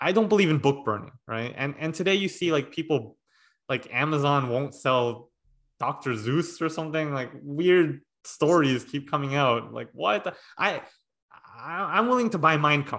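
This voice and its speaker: Against a quiet background, a man with an ordinary speaking voice talks at a moderate pace with lively intonation. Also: fairly high pitch for a man. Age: 30s. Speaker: podcast host. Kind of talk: casual chat. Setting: video call.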